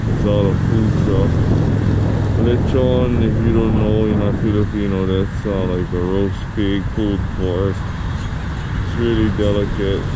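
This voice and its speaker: A man at a very slow pace against loud background noise. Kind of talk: casual vlog chat. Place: street. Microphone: phone near.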